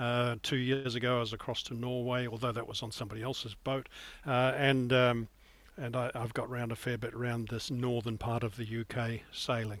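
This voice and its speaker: Here a man with a New Zealand accent talks at a moderate pace and medium pitch, his intonation monotone and flat. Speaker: sailing guide editor and yacht skipper. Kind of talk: interview.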